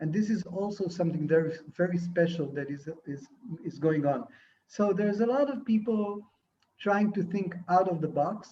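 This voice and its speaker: Speaking with an Israeli accent at a fairly slow pace, a man uses a high pitch with ordinary pitch variation. His tone is dark and mellow. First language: Hebrew. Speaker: film and TV director. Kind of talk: interview. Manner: halting.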